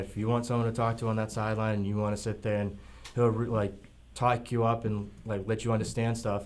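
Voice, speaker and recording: A man's medium-pitched voice in a monotone, flat intonation at a fairly quick pace, with audible room echo. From Massachusetts, East Bridgewater. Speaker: semi-pro football player. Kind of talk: radio interview. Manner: hesitant, filler-heavy.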